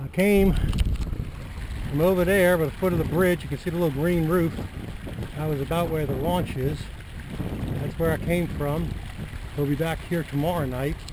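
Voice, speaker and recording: The speech moves at a moderate pace with long, frequent pauses, sounding dry with no echo over loud background noise. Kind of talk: casual vlog chat. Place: boat.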